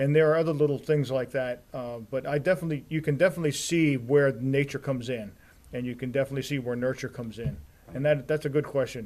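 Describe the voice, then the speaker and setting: Here a man with an American accent speaks at a very fast pace. His pitch is fairly high and his intonation fairly even. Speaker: TV program manager. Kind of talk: interview.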